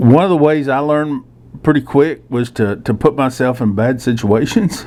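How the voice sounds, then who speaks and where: This man speaks at a moderate pace with a Texan accent, his medium pitch showing ordinary variation. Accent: Texan Southern US. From South Texas, rural (Floresville, Corpus Christi). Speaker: journalist and commentator. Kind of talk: casual monologue. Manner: halting, many fillers.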